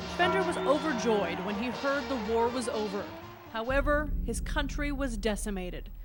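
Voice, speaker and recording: A woman speaks with lively intonation at a fairly high pitch, over noticeable background noise. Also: moderate pace. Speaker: news reporter. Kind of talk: TV news narration.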